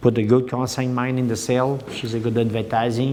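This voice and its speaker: A man speaks with a Quebec accent at a moderate pace. Audible room echo and noticeable background noise fill the recording. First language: French. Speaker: dairy farmer and cattle breeder. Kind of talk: farm tour interview. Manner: halting, many hesitations.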